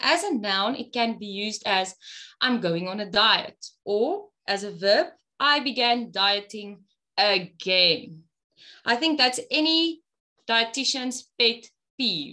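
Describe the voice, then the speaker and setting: A woman's bright, sharp, fairly high voice at a very slow pace, with long, frequent pauses, on a very clean recording with a silent background. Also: lively intonation. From South Africa, Free State. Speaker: dietitian and lactation consultant. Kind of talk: prepared interview answers.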